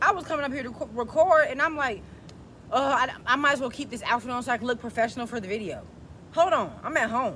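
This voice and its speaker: Over noticeable background noise, a woman with a high pitch talks at a very fast pace in an animated tone, with ordinary pitch variation. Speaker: self-help video creator. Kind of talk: motivational talk to camera. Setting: at home.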